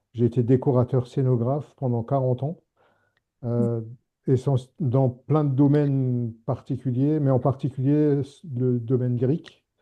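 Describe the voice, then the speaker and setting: Monotone, flat intonation from a man at medium pitch, at a fairly slow pace. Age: 70s. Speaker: retired set designer, association president. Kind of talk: self-introduction in a meeting. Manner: halting.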